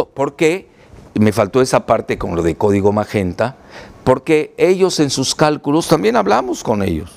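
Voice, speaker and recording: This man's medium-pitched voice swings very widely in pitch as he talks at a medium speed. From Mexico, Yucatán. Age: 70s. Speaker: political analyst and author. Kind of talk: interview. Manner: halting, repeats words.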